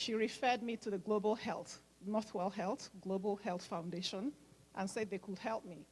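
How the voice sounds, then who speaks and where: Somewhat breathy, a woman speaks at a medium pitch with ordinary pitch variation. Her pace is moderate. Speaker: nurse and medical mission organizer. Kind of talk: speech at fundraising event.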